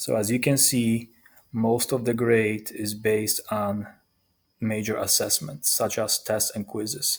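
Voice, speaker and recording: A man talks at a very slow pace. He has a non-native accent. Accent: foreign. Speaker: high school math teacher. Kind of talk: recorded presentation to parents.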